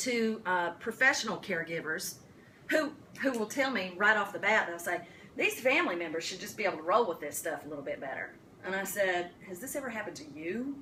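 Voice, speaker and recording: A woman in a strong Appalachian accent, fairly quick, with lively intonation and big swings in loudness, over noticeable background noise. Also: medium pitch for a woman. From US South, Appalachian western North Carolina. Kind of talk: talk to caregivers. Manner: animated.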